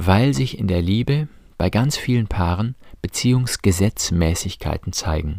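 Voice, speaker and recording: A man's dark, mellow voice, fairly low in pitch, at a fairly slow pace with lively intonation, in a very clean recording with a silent background. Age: 40s. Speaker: priest and podcast host on relationships. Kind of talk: scripted monologue.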